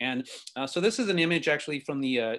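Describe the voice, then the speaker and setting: Words pour out of a man very rapidly, his pitch varying in an ordinary way. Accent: American. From West Texas, El Paso on the US-Mexico border. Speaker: visual artist. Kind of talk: artist lecture. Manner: many filler words.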